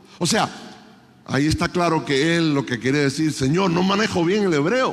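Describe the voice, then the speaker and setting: A man with a fairly high pitch and lively intonation speaks at very even loudness, with audible room echo. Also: moderate pace. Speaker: conference preacher. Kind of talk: sermon.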